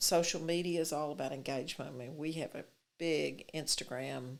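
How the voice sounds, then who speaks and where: Talking at a fairly quick pace in a Texas accent, a woman has a very deep, low pitch, fairly even intonation and vocal fry. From Texas, Fort Worth. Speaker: city mayor. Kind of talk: interview.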